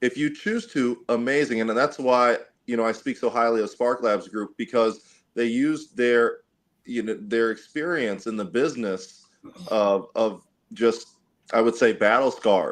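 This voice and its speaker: The man has a plain, everyday voice. His pace is fairly slow, and his pitch variation is ordinary. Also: medium pitch for a man. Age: young. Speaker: athlete and entrepreneur. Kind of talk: casual chat. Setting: video call.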